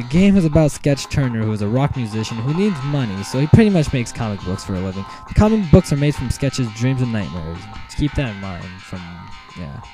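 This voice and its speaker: A man at medium pitch, very fast, with very wide pitch swings and big swings in loudness over music in the background. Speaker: video game reviewer. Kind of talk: game review voice-over. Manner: stuttering, some odd pronunciations.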